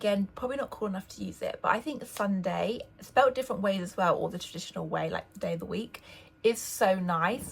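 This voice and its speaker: A woman with an English accent speaks at a fairly quick pace. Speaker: lifestyle vlogger. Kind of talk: casual vlog talk.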